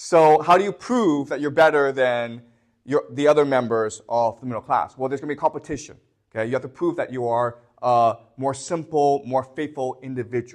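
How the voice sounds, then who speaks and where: With a quiet background, a man talks in an ordinary speaking voice at a fairly quick pace and a fairly high pitch, with ordinary pitch variation. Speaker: history teacher. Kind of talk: lecture.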